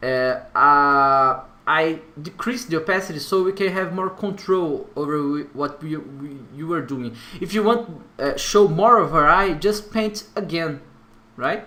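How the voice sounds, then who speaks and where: A man with a Brazilian accent speaks at a fairly slow pace, his voice high-pitched for a man. His intonation is lively, and there is noticeable background noise. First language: Portuguese. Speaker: tutorial creator. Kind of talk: software tutorial. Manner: halting, hesitant with fillers.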